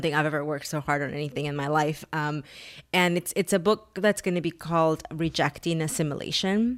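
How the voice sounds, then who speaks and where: In a very clean recording with a silent background, a woman with a very deep, low pitch speaks at a fairly quick pace with ordinary pitch variation. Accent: Spanish. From Mexico (Taxco, Guerrero), moved to US at 11. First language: Spanish. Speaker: author and activist. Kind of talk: interview.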